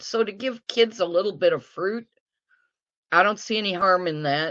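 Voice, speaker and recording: A woman speaks with an American accent. Her pitch variation is ordinary. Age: 60s. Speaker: guest sharing diet success story. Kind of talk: interview testimony.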